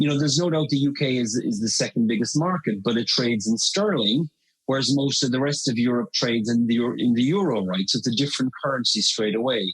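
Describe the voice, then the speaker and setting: In an Irish accent, the speaker goes at a very fast pace with hardly any pauses, very even loudness and ordinary pitch variation. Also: man, medium pitch for a man. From Ireland. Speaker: marketing consultant. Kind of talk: podcast interview.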